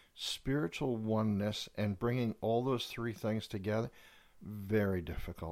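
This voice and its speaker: On a very clean recording with a silent background, a man with an ordinary speaking voice and a fairly low pitch talks at a fairly slow pace with ordinary pitch variation. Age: 60s. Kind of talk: casual chat with pastoral reflection.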